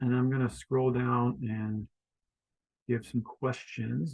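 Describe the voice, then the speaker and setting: With an American accent, a man at medium pitch speaks at a fairly slow pace in a somewhat breathy voice. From Florida. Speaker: online community coach. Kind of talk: video meeting facilitation.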